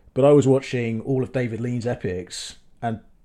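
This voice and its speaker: This man has a southern English accent and a dark, mellow tone. The recording is very clean, with a silent background. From southern England. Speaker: film director. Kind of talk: casual chat.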